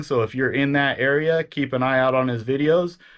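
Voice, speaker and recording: A man with an American accent talks at a fairly quick pace in a fairly high pitch. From Washington State, Pacific Northwest. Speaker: eBay reseller, Army veteran. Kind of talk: casual talk to camera.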